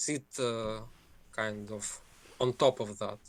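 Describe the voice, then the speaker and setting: The voice carries a Ukrainian accent and sounds dry and close, with no echo. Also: man. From Ukraine. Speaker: caller. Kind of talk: casual chat. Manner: halting.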